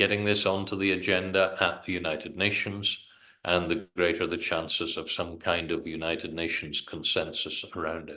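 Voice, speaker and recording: Speaking at a moderate pace, a man talks in a British accent. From Britain. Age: 60s. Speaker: politician. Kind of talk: interview.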